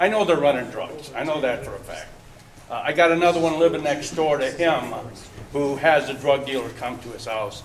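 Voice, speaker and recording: A man with an Inland North US accent talks at a fairly quick pace with ordinary pitch variation, against noticeable background noise and audible room echo. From Michigan, Detroit area. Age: 60s. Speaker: resident speaking at town hall, Vietnam-era veteran. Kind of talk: public comment at community meeting. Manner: halting, repeats words.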